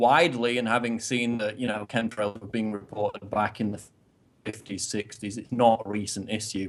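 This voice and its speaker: A man talks at a moderate pace with a medium pitch. His intonation is monotone and flat. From northern England. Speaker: political commentator. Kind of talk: interview.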